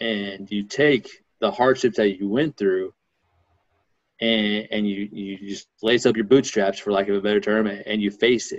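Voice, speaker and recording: With an American accent, a man with a fairly low pitch speaks at a moderate pace and fairly even intonation against a quiet background. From US Midwest, Missouri. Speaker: author, speaker and basketball coach; podcast guest. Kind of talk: interview conversation. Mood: earnest, reflective. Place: home room. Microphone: video call.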